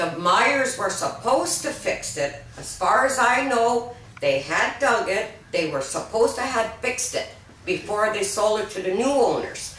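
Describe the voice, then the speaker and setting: Noticeable background noise and audible room echo around lively, moderately paced speech. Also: woman, fairly high pitch for a woman. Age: 60s. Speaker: mobile home park resident. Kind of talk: interview.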